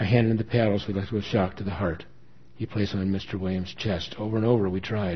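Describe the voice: Intonation holds fairly even. The text is read aloud plainly.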